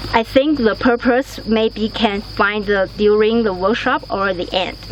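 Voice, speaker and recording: Over noticeable background noise, a woman with a non-native accent speaks at a fairly slow pace and fairly high pitch. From Taiwan. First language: not English. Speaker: workshop participant. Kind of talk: testimonial interview. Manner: halting.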